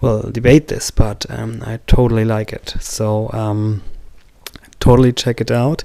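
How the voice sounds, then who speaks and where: The voice comes at a moderate pace with a German accent. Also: man. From Germany. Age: 40s. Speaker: movie reviewer. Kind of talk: casual video review. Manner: halting, many fillers.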